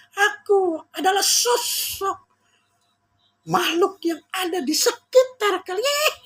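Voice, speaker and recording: Shrill and extremely high in pitch, a put-on character voice moves at a very slow pace. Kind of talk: spooky.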